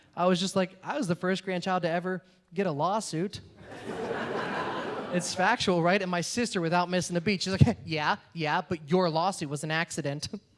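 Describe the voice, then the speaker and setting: Noticeable background noise behind a high-pitched male voice, moderate in pace and fairly even in intonation. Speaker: comedian. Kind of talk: stand-up.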